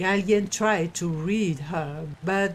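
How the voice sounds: Someone reads in a natural voice, the pitch moving up and down in an ordinary way.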